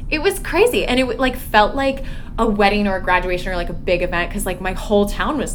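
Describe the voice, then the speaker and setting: A woman in an American accent at medium pitch and a fairly quick pace, with ordinary pitch variation, audible room echo, and music in the background. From Indiana. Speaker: Broadway ensemble performer. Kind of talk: casual chat.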